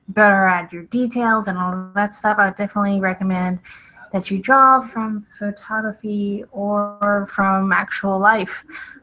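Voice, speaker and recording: Music runs in the background while a woman speaks at a medium pitch. Her pace is fairly slow and her intonation monotone and flat. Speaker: artist and drawing instructor. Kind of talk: live drawing tutorial. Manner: casual with many fillers.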